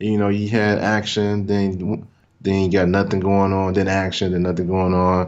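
The pace is moderate. An American accent comes through. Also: man. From US South, small-town Mississippi. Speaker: podcast guest, comic fan. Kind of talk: casual chat.

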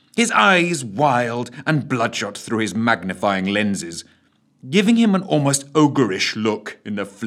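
The recording consists of plain reading aloud.

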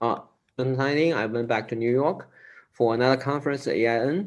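With a Chinese accent, a man speaks with ordinary pitch variation. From China, Sichuan province. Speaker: improviser. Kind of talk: interview. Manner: halting.

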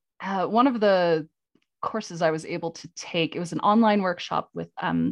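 Against a quiet background, a woman talks at a moderate pace. Her intonation is fairly even. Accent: American. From US, New England (Vermont). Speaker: milliner. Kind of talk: interview. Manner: hesitant, many fillers.

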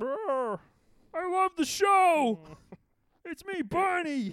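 A put-on character voice at an extremely high pitch drags along at a very slow pace. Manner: slurred, dim.

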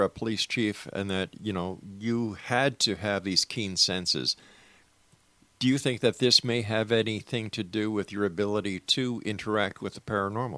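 A man's bright, sharp voice, fairly low in pitch, with ordinary pitch variation and a moderate pace. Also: dry, close sound with no echo. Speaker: radio host. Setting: studio. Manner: theatrical, rhythmic, broadcast-polished, warm and upbeat.

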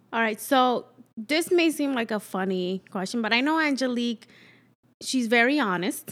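On a very clean recording with a silent background, a woman with a slight Dominican accent speaks at a moderate pace with a high pitch and lively intonation. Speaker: friend filling in as host. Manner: warm, upbeat.

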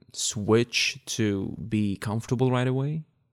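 In an Arabic accent, a man speaks with a dry, close sound and no echo on a very clean recording with a silent background. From Iraq, Baghdad. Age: 30s. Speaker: podcast guest. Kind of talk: casual chat. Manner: halting.

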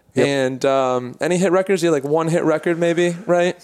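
A man speaks at a moderate pace with ordinary pitch variation and an unremarkable speaking voice. The recording is very clean, with a silent background. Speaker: podcast host. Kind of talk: interview.

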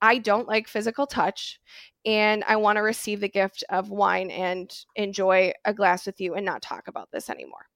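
A woman speaks at a moderate pace and medium pitch in a plain, everyday voice. The sound is dry and close, with no echo. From Wisconsin, US Midwest. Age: 20s. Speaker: mental health counselor. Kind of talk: casual interview chat. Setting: remote call.

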